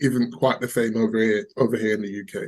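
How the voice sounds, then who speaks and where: A man speaks with an English accent. His tone is dark and mellow. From England. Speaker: crypto investor. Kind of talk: casual interview. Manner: hesitant, repetitive.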